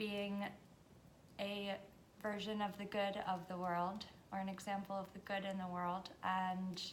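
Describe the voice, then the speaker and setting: A woman speaks at a medium pitch in a flat monotone, with long, frequent pauses and audible echo in the room. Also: fairly slow pace. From US, Washington DC area (born in Hungary). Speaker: vlogger. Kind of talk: casual monologue.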